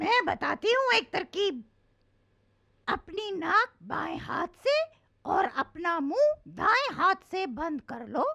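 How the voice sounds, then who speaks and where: A cartoonish character voice that sounds female goes extremely high in pitch with very wide swings, moving at a fairly slow pace with long, frequent pauses. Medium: puppet. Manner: confident, helpful.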